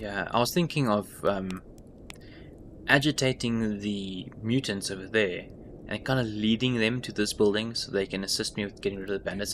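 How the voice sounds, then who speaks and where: With a plain, everyday voice, a man speaks at a moderate pace and fairly low pitch, his intonation fairly even. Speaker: gaming YouTuber. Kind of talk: gameplay commentary. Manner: relaxed, thinking aloud.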